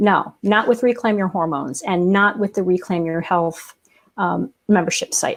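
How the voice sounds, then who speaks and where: At a moderate pace, an ordinary speaking voice moves with ordinary pitch variation. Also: woman, medium pitch for a woman. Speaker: podcast co-host, copywriter. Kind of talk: casual interview chat.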